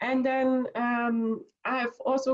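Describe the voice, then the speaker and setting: A woman with a high pitch and a non-native accent. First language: not English. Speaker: audience participant. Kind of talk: casual chat. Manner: halting.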